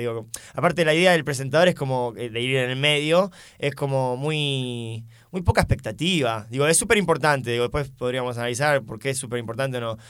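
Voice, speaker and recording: An ordinary speaking voice from a man, at a fairly quick pace and medium pitch, on a very clean recording with a silent background. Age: 20s. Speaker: stand-up comedian and teacher. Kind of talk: casual chat.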